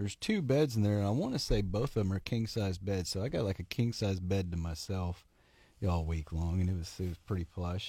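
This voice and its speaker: A man with an American accent speaks at a fairly quick pace in a fairly low pitch. His somewhat breathy, dark, mellow tone comes through in a very clean recording with a silent background. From Oklahoma. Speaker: fly fishing angler. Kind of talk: casual chat.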